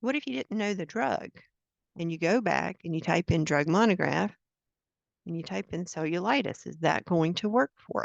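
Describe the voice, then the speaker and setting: Speaking at a fairly low pitch, a woman shows vocal fry and lively intonation. The sound is dry and close, with no echo. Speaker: product trainer, former librarian. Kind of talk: software training webinar. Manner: fast.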